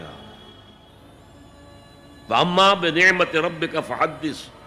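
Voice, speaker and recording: Music plays behind a man whose voice is fairly high in pitch. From Pakistan. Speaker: Islamic scholar. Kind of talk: religious sermon.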